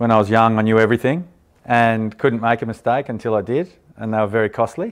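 An Australian accent at a very fast pace against a quiet background. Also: man. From Australia, Canberra. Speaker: buyer's agent and property investor. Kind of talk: interview.

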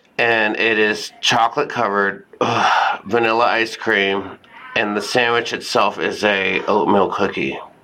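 At a fairly slow pace and a medium pitch, a man with an American accent talks with fairly even intonation over noticeable background noise. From Texas, San Antonio. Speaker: comedian and fashion show host. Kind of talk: casual chat. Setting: getting a massage during recording.

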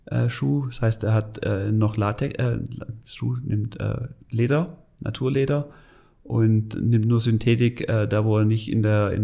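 At a fairly slow pace, a man with a medium pitch and a dark, mellow tone speaks with ordinary pitch variation. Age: 40s. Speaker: sports product manager. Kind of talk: interview. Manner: halting.

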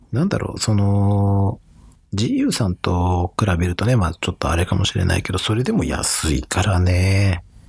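The speaker talks at a fairly slow pace with ordinary pitch variation and very even loudness. Noticeable background noise is present. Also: man, fairly low pitch for a man. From Japan, Saitama. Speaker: fashion podcast host. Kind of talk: casual chat.

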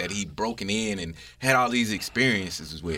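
A man with a bright, sharp tone and vocal fry talks at a moderate pace. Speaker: co-host. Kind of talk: casual banter.

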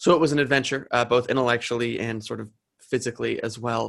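A man with an American accent speaks at a fairly quick pace, his pitch in the middle range. His tone is bright and sharp, with vocal fry. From New Jersey. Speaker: college student discussing senior thesis. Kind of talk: interview.

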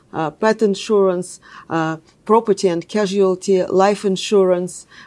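A woman speaks with a Russian accent in a dark, mellow tone. Her intonation stays fairly even. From Russia (Moscow). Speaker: technology executive. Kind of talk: interview.

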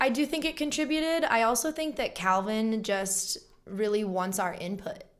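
An ordinary speaking voice from a woman, fairly high in pitch, with lively intonation and a moderate pace. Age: 20s. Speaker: actress and singer-songwriter. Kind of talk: casual chat.

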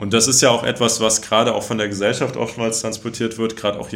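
The man's voice sits at a medium pitch. He speaks very fast. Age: 20s. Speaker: politician. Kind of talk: interview.

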